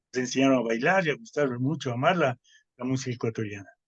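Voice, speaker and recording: A man is talking, his pitch in the medium range. The pitch shifts with ordinary variation. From Ecuador. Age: 60s. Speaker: composer. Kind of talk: interview. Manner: hesitant with fillers.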